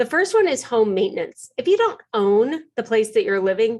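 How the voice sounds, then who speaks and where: Her pitch is fairly high, and she swings through a very wide pitch range. The woman keeps a moderate pace against a quiet background. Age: 50s. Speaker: organizing expert, podcaster. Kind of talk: webinar presentation. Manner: animated.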